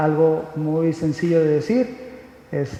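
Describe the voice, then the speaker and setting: Noticeable background noise behind a man with a fairly high-pitched voice. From Mexico. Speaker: conference speaker. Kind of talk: lecture. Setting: stage with audience. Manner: halting, many fillers.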